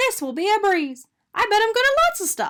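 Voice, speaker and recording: This woman puts on a squeaky character voice at an extremely high pitch. She goes at a fairly quick pace. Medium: read story. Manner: bright, eager.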